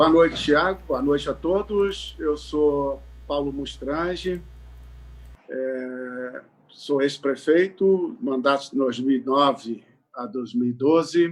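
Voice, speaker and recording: This man's fairly high voice holds ordinary pitch variation as he speaks very slowly. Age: 60s. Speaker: politician. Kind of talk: political interview. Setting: live online broadcast. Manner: hesitant, many fillers.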